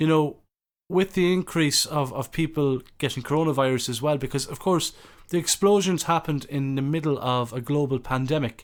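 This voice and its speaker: Against a silent background on a very clean recording, a man with an Irish accent speaks in a fairly high voice at a fairly quick pace with ordinary pitch variation. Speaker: podcast host. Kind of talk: interview. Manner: halting.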